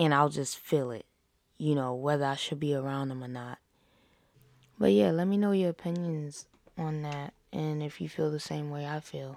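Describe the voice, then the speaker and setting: Here a woman speaks with a very deep, low pitch. The recording is very clean and the background silent. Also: ordinary pitch variation, moderate pace. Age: 20s. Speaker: podcast host. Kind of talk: casual monologue. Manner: casual, with filler words.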